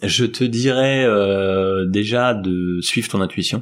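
The recording is very clean and the background silent. This man's voice sits very deep and low. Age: 40s. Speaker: tech company founder. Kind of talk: interview. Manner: hesitant, many fillers.

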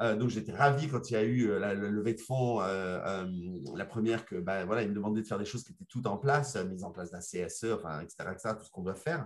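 A man talks at a fairly quick pace with lively intonation and a somewhat breathy voice. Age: 50s. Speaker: legal coach and lawyer. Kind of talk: podcast discussion.

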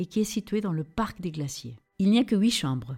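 The voice is somewhat breathy with a dark, mellow tone and a Spanish accent. It moves at a moderate pace with lively intonation. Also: woman. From Peru, Lima. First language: Spanish (speaking French). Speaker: travel designer. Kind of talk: travel storytelling.

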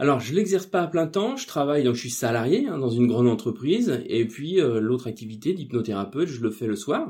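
Over noticeable background noise, a man talks at a fairly quick pace in a medium pitch with very wide pitch swings. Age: 40s. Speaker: office employee and part-time hypnotherapist. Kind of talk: interview. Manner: hesitant, many fillers.

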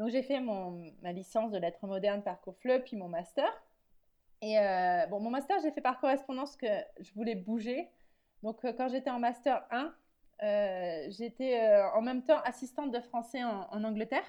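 A woman's fairly high, lively voice at a fairly slow pace, a normal speaking voice over a quiet background. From France. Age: 30s. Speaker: emotional writing coach, former teacher. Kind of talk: interview. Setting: remote recording.

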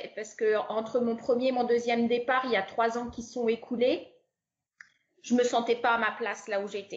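Her pitch is fairly high and her intonation monotone and flat. The woman speaks at a moderate pace. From France. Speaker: expatriate. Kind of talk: interview.

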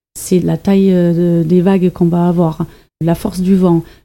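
A woman speaks with a German accent. Her voice is fairly low, with a dark, mellow tone. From Germany. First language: German (speaking French). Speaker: environmental educator. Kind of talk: interview. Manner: hesitant, many fillers.

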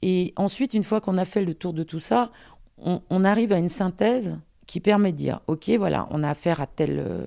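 Recorded very cleanly against a silent background, the voice has a dark, mellow tone and ordinary pitch variation. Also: woman. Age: 50s. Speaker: astrologer and career guidance consultant. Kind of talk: interview. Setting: at home. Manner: direct.

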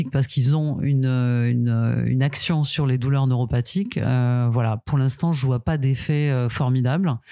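Captured in a very clean recording with a silent background, a woman with a very deep, low pitch and a dark, mellow tone speaks at a very slow pace with fairly even intonation. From France, provinces, Corsican family. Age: 50s. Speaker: interviewee, working mother. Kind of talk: casual interview. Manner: hesitant, many fillers.

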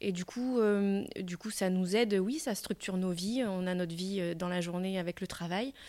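Recorded very cleanly against a silent background, a woman at medium pitch uses a normal speaking voice at a moderate pace. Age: 40s. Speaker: primary school teacher and amateur triathlete. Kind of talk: interview. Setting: at her school workplace.

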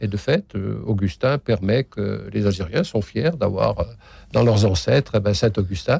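Using vocal fry, a man speaks at a fairly slow pace in a fairly low pitch, with a dark, mellow tone and lively intonation. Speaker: retired archbishop. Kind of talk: interview. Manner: halting.

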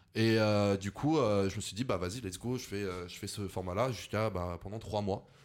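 A man with a plain, everyday voice and fairly low pitch speaks at a moderate pace with fairly even intonation, in a very clean recording with a silent background. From France, Lyon. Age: 20s. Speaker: content creator. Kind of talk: casual chat.

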